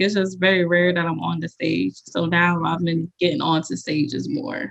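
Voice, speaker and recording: A woman with an American accent talks at a moderate pace in a fairly low voice. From New Jersey. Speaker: stage actor. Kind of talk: casual chat. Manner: soft-spoken.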